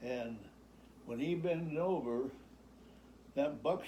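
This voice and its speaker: With an American accent, a man speaks at a very slow pace in a dark, mellow tone. His pitch is fairly high with ordinary variation, and audible room echo surrounds him. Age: 90s. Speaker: retired farmer. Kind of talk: storytelling. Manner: halting.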